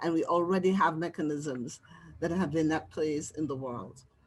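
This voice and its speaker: A woman with a Caribbean accent, a fairly low pitch and fairly even intonation. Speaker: social worker and spiritual counselor. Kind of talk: live webinar Q&A, audience member sharing.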